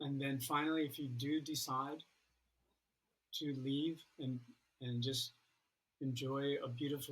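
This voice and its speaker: With long, frequent pauses, a man talks at a fairly slow pace, his fairly high pitch staying monotone and flat. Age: 60s. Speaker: recovering addict sharing story. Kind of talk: testimony.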